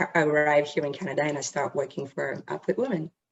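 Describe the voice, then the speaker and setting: A woman talks at a very fast pace with a very deep, low pitch and ordinary pitch variation. Vocal fry is present. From France, Paris. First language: French. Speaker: charity worker. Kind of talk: interview. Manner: halting.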